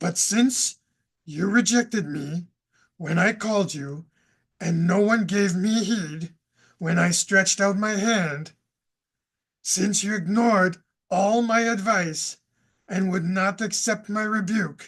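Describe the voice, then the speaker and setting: A cartoonish character voice at a middle pitch, fairly slow, with long, frequent pauses. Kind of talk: scripture reading. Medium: puppet. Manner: hesitant.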